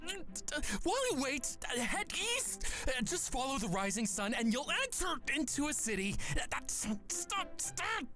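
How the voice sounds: A man uses a put-on character voice at an extremely high pitch, with big pitch swings. He talks at a fairly slow pace with few pauses over clear music in the background.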